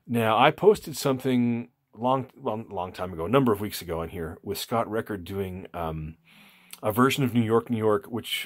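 A man with a fairly low pitch talks at a moderate pace, his pitch varying normally over a quiet background. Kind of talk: casual vlog chat. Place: home room. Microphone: phone near.

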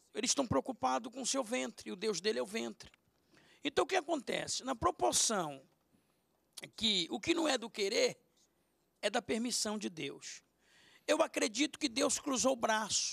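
Against a quiet background, a man speaks at an extremely high pitch with very wide pitch swings and long, frequent pauses. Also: moderate pace. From Brazil. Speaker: pastor. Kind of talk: panel debate. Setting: TV studio. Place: studio. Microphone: handheld.

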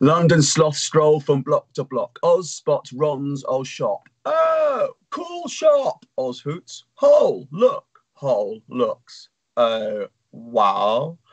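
A man speaks at a very slow pace, and the background is quiet. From England. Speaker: poet. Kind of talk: poetry reading. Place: home room. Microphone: webcam.

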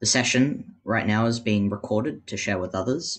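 This man has a medium-pitched voice with an Australian accent. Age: young. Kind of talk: webinar panel.

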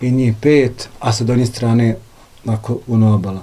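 The intonation stays fairly even as a man talks. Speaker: house host. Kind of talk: interview answer, storytelling. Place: home room.

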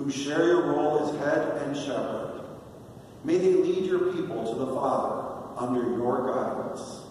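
A man's fairly high voice carries strong room echo over light background noise. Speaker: deacon leading prayer. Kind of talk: liturgical prayer, leading intercessions and responses. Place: church.

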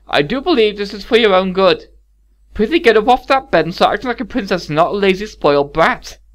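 In a put-on character voice, the speaker goes at a very fast pace with a strained, fairly high pitch. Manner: strained, scolding.

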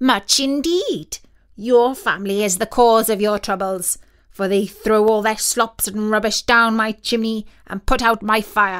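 A woman does a squeaky, put-on character voice, fairly high in pitch, with ordinary pitch variation at a moderate pace. The recording is very clean, with a silent background. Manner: scolding.

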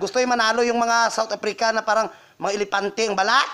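A man's raised, projected voice, very fast and dramatic in tone. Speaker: vlogger. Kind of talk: angry rant. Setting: casual self-recorded vlog. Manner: furious, shrill and scathing, spitting insults at the hosts; campy, dramatic, fast and sassy.

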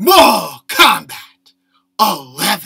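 A man does a put-on character voice. It comes out raspy. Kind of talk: casual chat, game predictions. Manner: announcer-style delivery. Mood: playful, amused.

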